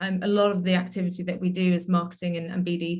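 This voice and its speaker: A somewhat breathy woman's voice at medium pitch, fairly quick in pace, with monotone, flat intonation. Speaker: marketing community manager presenting survey results. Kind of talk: presentation. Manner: hesitant with frequent fillers.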